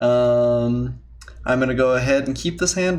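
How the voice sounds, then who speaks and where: A man's medium-pitched voice comes with audible room echo. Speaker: gaming commentator. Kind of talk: live gameplay commentary. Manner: slight stutter, excited.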